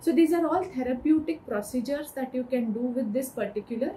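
A woman with a high pitch and ordinary pitch variation speaks at a fairly quick pace over light background noise. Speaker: medical educator. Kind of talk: lecture. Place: home room.

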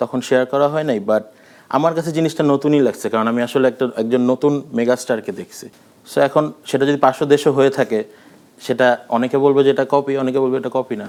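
With fairly even intonation, a man speaks at a medium pitch in an unremarkable speaking voice. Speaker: music director and filmmaker. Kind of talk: interview. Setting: studio.

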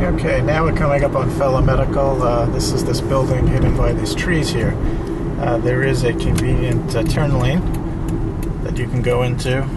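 A man's voice at a moderate pace over loud background noise. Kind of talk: casual vlog chat. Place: car. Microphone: camera far.

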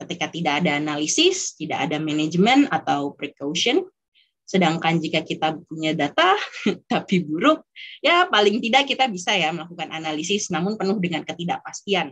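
Against a quiet background, a woman talks at a fairly quick pace with lively intonation, fairly low in pitch, in an ordinary speaking voice. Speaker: NGO data specialist; webinar presenter. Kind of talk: webinar presentation. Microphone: video call.

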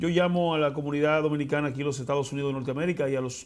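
Very fast speech from a man, his voice fairly high in pitch. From Dominican Republic, Elías Piña province; Dominican Republic. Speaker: senator. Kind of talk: interview. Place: studio. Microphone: lapel.

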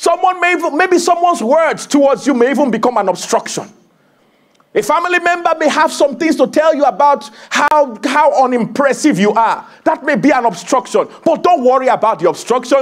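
Over a quiet background, a man speaks in an animated tone at an extremely high pitch. His pitch swings very widely. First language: not English. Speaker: preacher. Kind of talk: sermon. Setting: church. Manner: animated, exhorting, call-and-response; warm, conversational, humorous asides. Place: church.

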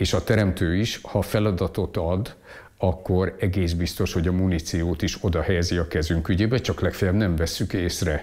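Against a quiet background, a man speaks at a moderate pace with a very deep, low pitch, very even loudness and fairly even intonation. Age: 60s. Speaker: economist and lecturer; interviewee, teacher. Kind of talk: interview monologue; interview answer. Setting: at home. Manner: halting, repetitive. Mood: calm, reflective. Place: home room. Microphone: lapel.

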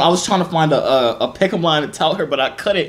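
Faint background noise sits behind a man talking at a fast pace.

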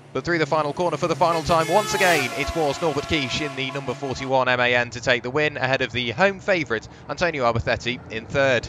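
Over noticeable background noise, a man talks at a fairly quick pace with hardly any pauses. His voice is fairly high in pitch, with an animated tone and ordinary pitch variation. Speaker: race commentator. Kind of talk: race highlights commentary, voiceover. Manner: fluent, brisk and animated, describing on-track action.

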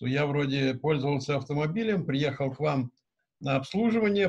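Over a quiet background, a man with a fairly high, somewhat breathy voice talks at a moderate pace with ordinary pitch variation. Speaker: car service business representative; conference presenter. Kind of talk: discussion remarks. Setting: video call. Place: office. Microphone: webcam.

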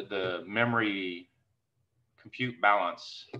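A man speaks in a bright, sharp tone. His intonation stays fairly even. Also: quiet background. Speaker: meeting host. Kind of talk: casual technical discussion. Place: home room. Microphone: video call.

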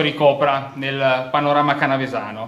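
A man's voice with audible room echo. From northern Italy. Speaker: mayor. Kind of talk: campaign speech. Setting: hall with audience. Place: hall.

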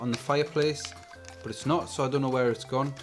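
A man's voice over clear music in the background. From England. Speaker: YouTube gadget reviewer. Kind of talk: product review. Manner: quiet, mumbling. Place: home room. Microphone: camera far.

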